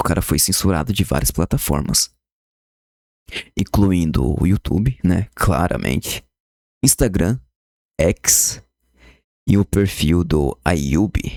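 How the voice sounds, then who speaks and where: Quiet and very slow, with long, frequent pauses, a man speaks in a very deep, low voice with vocal fry, lively intonation and very even loudness, recorded with a dry, close sound and no echo. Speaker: YouTuber commenting on news. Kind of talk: casual commentary. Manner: quiet, subdued volume.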